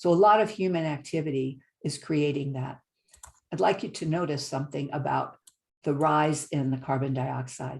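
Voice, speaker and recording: This woman has a very deep, low pitch. She keeps a moderate pace with ordinary pitch variation. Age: 70s. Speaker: climate presenter. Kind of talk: slide presentation lecture.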